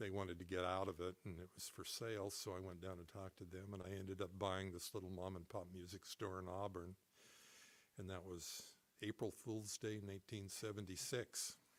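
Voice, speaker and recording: This speaker has a Pacific Northwest accent and a fairly quick pace. The intonation stays flat and monotone. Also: man, very deep, low pitch for a man. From Seattle, Washington. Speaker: musician, music store owner. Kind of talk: interview answer.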